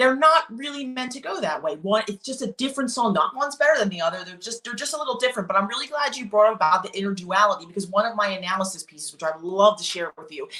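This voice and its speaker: A very fast, animated woman's voice in a Philadelphia accent, fairly high in pitch, with lively intonation, big swings in loudness, hardly any pauses and noticeable background noise. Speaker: classical singer discussing art song. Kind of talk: casual chat.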